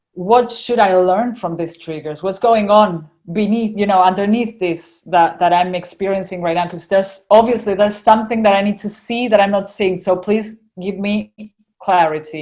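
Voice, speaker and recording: A woman with an Argentinian accent at medium pitch, moderate pace and fairly even intonation. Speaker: spiritual channeler. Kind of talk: casual interview chat.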